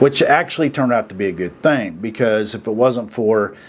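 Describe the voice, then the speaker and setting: With noticeable noise in the background, a man's speech keeps to a moderate rate. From Oklahoma, US. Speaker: video commentator. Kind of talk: casual monologue. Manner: halting, many fillers and repeats; plain folksy speech.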